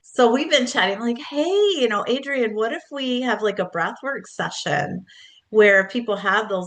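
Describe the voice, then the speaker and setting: This is a woman with an ordinary speaking voice and lively intonation. She talks at a moderate pace over a quiet background. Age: 60s. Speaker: book coach and author. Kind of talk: casual interview chat. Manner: warm, conversational with fillers.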